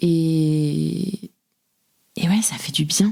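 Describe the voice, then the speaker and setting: The speaker here is a woman. Her audio is dry and close, free of echo. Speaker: podcast host. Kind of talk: casual conversation.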